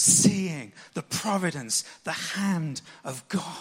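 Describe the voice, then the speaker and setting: Noticeable background noise sits behind a man who speaks with ordinary pitch variation. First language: English (speaking Japanese). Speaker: pastor. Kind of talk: sermon.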